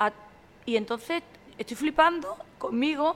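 A woman's voice with ordinary pitch variation. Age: 40s. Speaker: sommelier and social media communicator. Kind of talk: casual chat.

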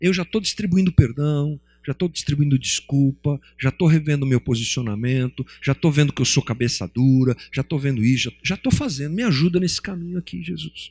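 A man's somewhat breathy, fairly high voice at a fairly quick pace with ordinary pitch variation, dry and close with no echo. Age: 50s. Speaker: pastor. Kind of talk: sermon. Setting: church.

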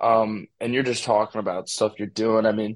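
With an American accent, a man speaks at a moderate pace in a fairly low, flat monotone against a quiet background. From St. Louis, Missouri. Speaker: college football recruit. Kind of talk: interview.

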